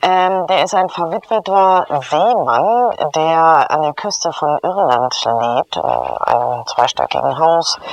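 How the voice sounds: Vocal fry runs through this slow delivery, with few pauses and ordinary pitch variation.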